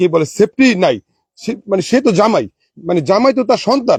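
A high-pitched man with lively intonation, dry and close, no echo. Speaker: local villager. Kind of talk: interview statement. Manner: halting, many fillers.

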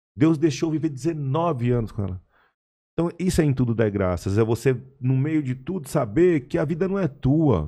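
At a moderate pace and medium pitch, a man with a dark, mellow tone and lively intonation speaks over a quiet background. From Brazil. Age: 40s. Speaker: podcast guest. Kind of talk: casual chat. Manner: halting. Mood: reflective, earnest. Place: studio. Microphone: studio mic.

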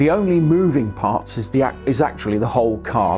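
Faint music can be heard in the background. Over it, a man talks. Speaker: product reviewer. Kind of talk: product review to camera. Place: studio. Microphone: lapel.

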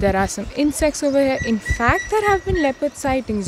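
A woman's voice in a dry, echo-free recording with noticeable background noise. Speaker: travel vlogger. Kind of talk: casual vlog chat. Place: forest. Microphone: phone near.

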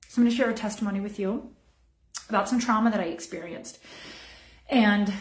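A woman speaks at a medium pitch. The room echo is audible. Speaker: wellness program director and massage therapist; wellness teacher. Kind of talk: online teaching. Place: home room. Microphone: phone near.

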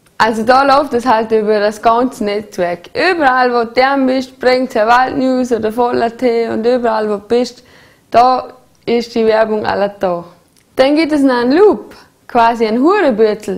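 A woman's high voice with a Vorarlberg accent, fairly slow, with ordinary pitch variation. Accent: Bregenzerwald dialect. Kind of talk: humorous promotional explainer. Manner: casual, chatty.

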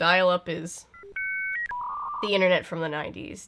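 There is noticeable background noise as a woman speaks. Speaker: video commentator. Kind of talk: casual commentary. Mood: wry, sarcastic humor. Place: home room.

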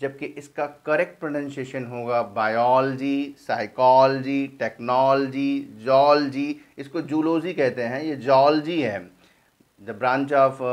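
Against a quiet background, a man speaks. His pitch is fairly high and his pace very slow. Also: fairly even intonation. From India. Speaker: English teacher. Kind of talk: tutorial. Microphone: phone near.

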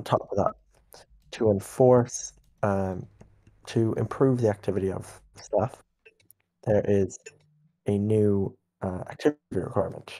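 In a dark, mellow tone, a man speaks fairly slowly at a fairly low pitch, his intonation fairly even and his pauses long and frequent. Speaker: game server staff leader. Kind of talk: staff meeting. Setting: online voice chat. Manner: stern.

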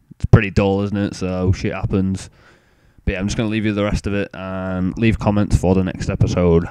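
With an English accent, a man speaks at a fairly quick pace in a very deep, low pitch, his dark, mellow tone held in a monotone, flat intonation. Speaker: gaming youtuber. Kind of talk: gameplay commentary intro.

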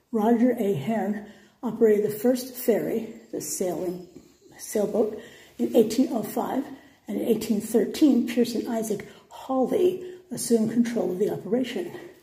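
A woman at a moderate pace, with audible room echo and a quiet background. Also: ordinary pitch variation. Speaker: history travel vlogger. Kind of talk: reading plaques aloud, tour commentary. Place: empty room. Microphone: phone near.

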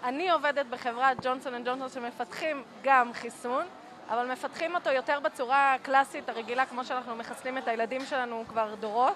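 A woman speaks at a moderate pace in a high pitch. Her intonation stays fairly even. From Israel, Jerusalem. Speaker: engineer. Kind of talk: street interview. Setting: outdoor market.

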